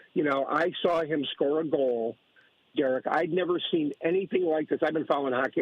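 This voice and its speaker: In an ordinary speaking voice, a man with fairly high pitch talks at a fairly quick pace, with ordinary pitch variation and very even loudness. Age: 60s. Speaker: caller. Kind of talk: casual chat.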